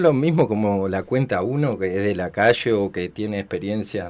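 A man with a Uruguayan accent speaks at a moderate pace. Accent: Rioplatense Uruguayan Spanish. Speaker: cook and community radio volunteer. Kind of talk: casual interview. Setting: radio studio.

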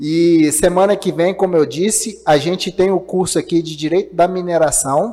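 High pitch in a man's voice, dark, mellow tone, moderate pace and ordinary pitch variation. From Minas Gerais, Brazil. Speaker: podcast host. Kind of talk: live-streamed interview podcast. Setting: live stream.

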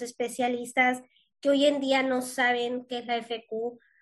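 At a fairly slow pace, a woman speaks at a high pitch with fairly even intonation. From Yucatán, Mexico. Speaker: podcast host, cystic fibrosis patient. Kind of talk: interview.

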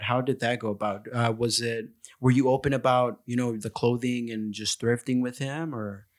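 A man with an ordinary speaking voice talks at a moderate pace and medium pitch, his intonation fairly even. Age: 20s. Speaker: podcast host. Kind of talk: casual interview chat.

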